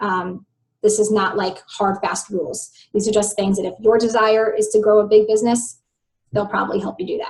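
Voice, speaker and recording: A woman speaks in a fairly high pitch with a somewhat breathy voice. Her intonation is monotone and flat, and her pace is fairly quick. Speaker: health coach and business trainer. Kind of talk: online training webinar. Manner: fast.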